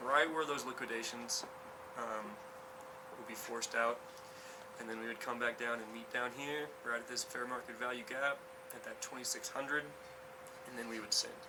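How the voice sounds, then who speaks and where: Long, frequent pauses break up this man's speech, his medium pitch showing ordinary variation over noticeable background noise and audible room echo. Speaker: crypto trading streamer. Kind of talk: live stream market analysis. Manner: fast.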